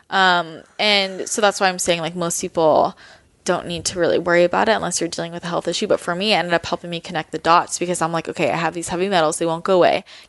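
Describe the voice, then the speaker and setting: At a very fast pace, a voice with a Californian accent speaks in a flat monotone, the sound dry and close with no echo. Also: woman, fairly low pitch for a woman. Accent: Californian American. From US West Coast, San Francisco Bay Area. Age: 20s. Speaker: wellness blogger. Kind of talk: casual interview.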